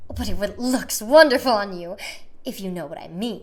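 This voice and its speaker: Using a put-on character voice, a woman speaks in a shrill, medium pitch at a moderate pace with lively intonation. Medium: read story. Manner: gushing, fawning.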